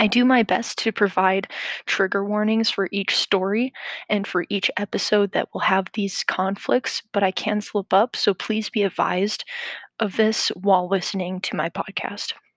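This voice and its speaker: At a moderate pace, a woman speaks in a medium pitch with flat, monotone intonation, the sound dry and close, with no echo. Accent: American. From US Midwest. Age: 20s. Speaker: podcaster. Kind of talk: casual monologue.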